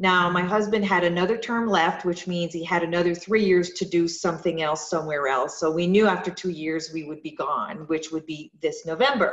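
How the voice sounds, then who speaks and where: Speaking fast with hardly any pauses, a woman keeps a fairly low pitch. Noticeable background noise sits behind her. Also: ordinary pitch variation. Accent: French Canadian. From Quebec, French Canada. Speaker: yoga studio owner. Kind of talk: interview. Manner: halting, many fillers.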